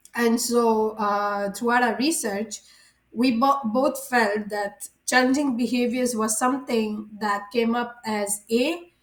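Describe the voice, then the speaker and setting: Speaking very slowly, a woman with a fairly high voice keeps her intonation fairly even. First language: not English or French. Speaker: early childhood education student. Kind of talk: class presentation. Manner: halting, many filler sounds.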